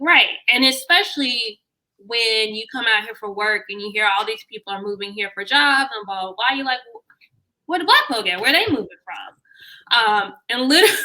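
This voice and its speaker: A woman with an American accent speaks in a bright, sharp, fairly high voice, with ordinary pitch variation and big swings in loudness. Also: moderate pace. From US South, Memphis, Tennessee. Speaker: talent coach. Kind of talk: casual interview chat.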